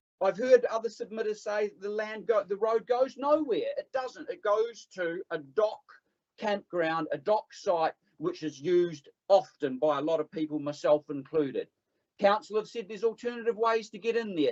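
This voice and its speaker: With a New Zealand accent, a man speaks at a high pitch and a moderate pace in an animated tone. His intonation is lively, and the sound is dry and close with no echo. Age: 50s. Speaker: public submitter at council hearing. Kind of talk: public submission at council hearing. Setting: council meeting room.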